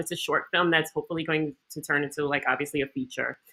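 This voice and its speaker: Very fast speech from a woman with a New York accent, animated in tone, bright and sharp. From New York City, Queens. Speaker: actress. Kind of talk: panel interview.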